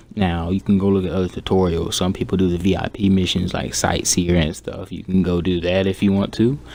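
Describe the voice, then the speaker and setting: Quiet and fairly quick, a man speaks at a very deep, low pitch with fairly even intonation. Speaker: gaming youtuber. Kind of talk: casual gaming advice talk. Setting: at home. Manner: monotone; subdued, keeping quiet.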